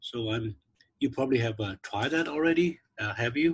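Male speech, somewhat breathy, with ordinary pitch variation. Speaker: instructional designer leading faculty workshop; presenter. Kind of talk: online training workshop. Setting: video call. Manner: halting, many fillers. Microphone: video call.

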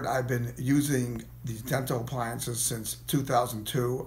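The man's intonation is monotone and flat at a medium pitch. His voice is somewhat breathy, and he keeps a moderate pace. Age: 60s. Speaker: sleep apnea patient. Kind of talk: patient testimonial. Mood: pleased, grateful. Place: office. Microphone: phone near.

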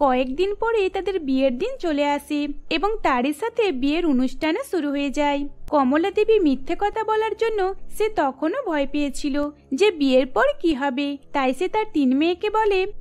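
A woman's high, slightly mellow voice with lively intonation, a moderate pace and few pauses

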